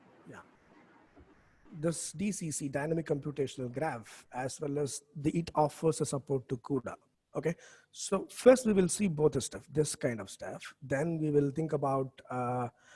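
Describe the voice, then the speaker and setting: Fairly high in pitch with a dark, mellow tone, a man speaks somewhat breathily at a moderate pace with ordinary pitch variation and big swings in loudness, in a dry, close sound with no echo. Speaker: professor. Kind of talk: lecture. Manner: halting; soft-spoken. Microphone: too quiet, far from the mic.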